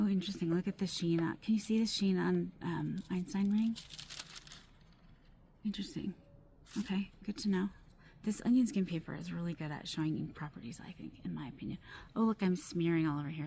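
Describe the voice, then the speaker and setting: Soft-spoken, somewhat breathy speech with a dark, mellow tone, fairly quick pace, lively intonation, big swings in loudness, and long, frequent pauses. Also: woman. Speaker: fountain pen reviewer. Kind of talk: casual talk to camera. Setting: outdoors. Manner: trying to be soft-spoken.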